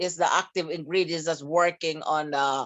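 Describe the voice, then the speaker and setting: Talking at a moderate pace, the woman has an unremarkable speaking voice and ordinary pitch variation. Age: 60s. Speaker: product distributor sharing testimonial. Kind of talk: testimony.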